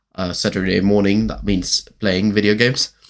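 In a very clean recording with a silent background, a man with a German accent speaks at a fairly low pitch in a monotone, flat intonation. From Germany. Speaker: podcaster. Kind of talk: casual monologue. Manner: rambling, halting.

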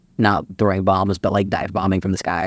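The recording is very clean with a silent background, as a man with an American accent speaks fairly quickly in a fairly low pitch. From Texas, Austin. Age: 30s. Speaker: guest sharing personal story. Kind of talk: casual chat.

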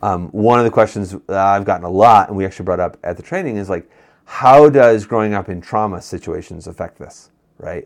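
With an American accent, a man talks at a moderate pace in an unremarkable speaking voice, fairly low in pitch with ordinary pitch variation, over a quiet background. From Western New York. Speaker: pastor. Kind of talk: casual chat.

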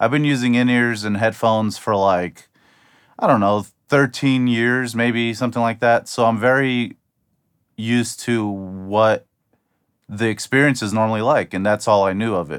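An unremarkable speaking voice from a man with an American accent, medium in pitch, at a moderate pace with fairly even intonation, on a very clean recording with a silent background. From US Midwest, Ohio. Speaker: drummer and audio engineer reviewing gear. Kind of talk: product review to camera. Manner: casual with frequent fillers.

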